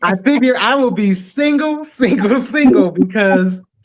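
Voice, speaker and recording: Speaking at a fairly slow pace, a woman moves through very wide pitch swings. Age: 50s. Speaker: podcast guest sharing life experience. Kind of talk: casual chat.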